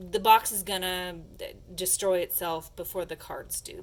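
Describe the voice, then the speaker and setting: Using a put-on character voice, a woman speaks at a medium pitch and moderate pace, raspy and with monotone, flat intonation. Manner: stammering.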